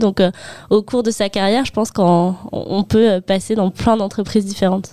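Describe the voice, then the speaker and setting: Her dark, mellow voice sits at a medium pitch for a woman and moves at a fairly quick pace with fairly even intonation, recorded with a dry, close sound and no echo. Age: 20s. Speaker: HR apprentice and master's student. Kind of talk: interview. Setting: studio.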